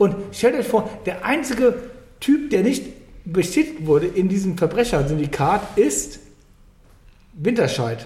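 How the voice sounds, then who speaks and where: A man with a high voice speaks at a fairly slow pace, with very wide pitch swings and long, frequent pauses. Noticeable background noise is present. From Germany, Cologne. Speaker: podcast host. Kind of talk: casual chat. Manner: loud and clear.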